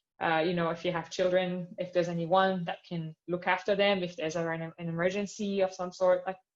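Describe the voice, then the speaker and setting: Speaking at a fairly quick pace, a woman keeps a monotone, flat intonation. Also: fairly low pitch for a woman, hardly any pauses. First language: not English. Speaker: astronomer on career panel. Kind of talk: panel discussion.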